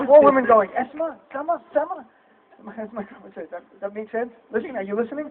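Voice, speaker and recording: With noticeable background noise behind him, a man speaks at an extremely high pitch and a fairly quick pace, with lively intonation, an animated tone and big swings in loudness. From United States. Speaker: stand-up comedian. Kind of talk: stand-up. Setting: stage with audience.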